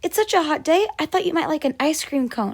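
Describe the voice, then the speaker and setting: A woman puts on a squeaky character voice, high-pitched and delivered at a fairly quick pace. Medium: read story.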